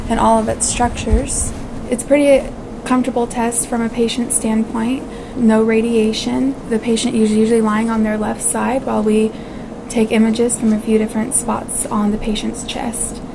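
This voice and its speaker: A woman at a moderate pace, monotone and flat, against noticeable background noise. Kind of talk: explanatory talk to camera. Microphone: lapel.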